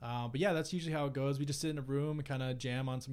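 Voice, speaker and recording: A man's plain, everyday voice moves along at a fairly quick clip, his medium pitch held to fairly even intonation. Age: 20s. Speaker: guitarist and ocean engineer. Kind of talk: casual chat.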